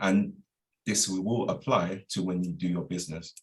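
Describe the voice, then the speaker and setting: A man with a very deep, low pitch, ordinary pitch variation, and a moderate pace. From South East London, England. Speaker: hospitality professional and wellbeing business owner. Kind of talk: inspirational talk. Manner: casual, informal.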